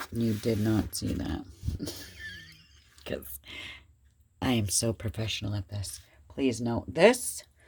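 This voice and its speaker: The speech moves at a very slow pace with long, frequent pauses, over noticeable background noise. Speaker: crafting YouTuber. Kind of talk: casual craft tutorial.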